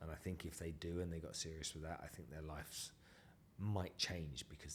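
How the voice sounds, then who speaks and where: In an English accent, a man speaks fairly quickly in a very deep, low, somewhat breathy voice with monotone, flat intonation. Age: 50s. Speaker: entrepreneur. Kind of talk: podcast interview.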